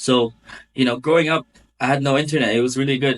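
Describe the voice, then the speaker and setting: A man's medium-pitched voice moves at a fairly quick pace, his intonation fairly even. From Philippines (Mindoro), moved to Canada at ten. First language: Tagalog/Filipino. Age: 20s. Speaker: barbershop owner. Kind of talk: podcast interview.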